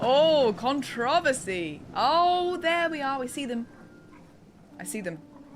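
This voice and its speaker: A woman speaks with very wide pitch swings. Noticeable background noise runs beneath her voice. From England. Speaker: streamer and voice actor. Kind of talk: live gameplay stream chat. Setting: live stream. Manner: animated.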